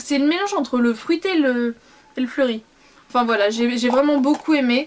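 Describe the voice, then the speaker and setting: Noticeable background noise surrounds a woman whose intonation is lively. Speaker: beauty vlogger. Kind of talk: casual product review vlog. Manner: fast.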